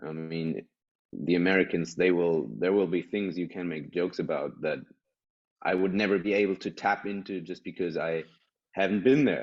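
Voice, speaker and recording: With a European accent, a man talks at a moderate pace in a very deep, low voice that has ordinary pitch variation. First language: German. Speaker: stand-up comedian and actor. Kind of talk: casual podcast conversation.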